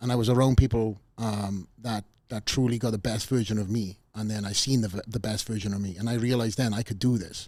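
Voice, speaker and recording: A man speaks with a Welsh accent at a fairly low pitch, his tone dark and mellow. His pace is fairly quick, with hardly any pauses and fairly even intonation. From Wales. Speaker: podcast host, former bodybuilder. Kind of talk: interview podcast chat. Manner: halting, many fillers and restarts.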